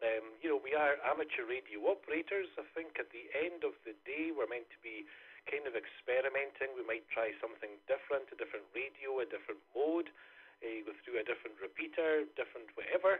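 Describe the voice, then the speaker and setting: With a Scottish accent, a man talks at a fairly quick pace, his loudness swinging widely. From Scotland. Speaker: amateur radio operator. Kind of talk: radio net check-in. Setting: amateur radio net. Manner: hesitant, many fillers.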